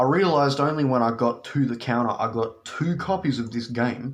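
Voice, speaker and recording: In an Australian accent, a man talks at a moderate pace with a medium pitch and ordinary pitch variation. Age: 20s. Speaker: video game collector. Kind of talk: casual talk to camera. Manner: casual, profane.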